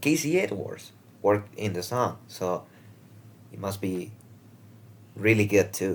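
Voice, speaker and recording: This man has a non-native accent and a fairly low pitch, speaking at a fairly slow pace. He leaves long, frequent pauses, and his loudness swings widely. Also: ordinary pitch variation. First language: not English. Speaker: reaction video creator. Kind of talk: casual reaction commentary. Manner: hesitant, many fillers.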